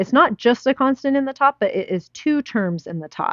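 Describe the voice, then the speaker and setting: A woman talks at a moderate pace with lively intonation. Hers is an ordinary speaking voice. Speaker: math teacher. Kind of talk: lecture.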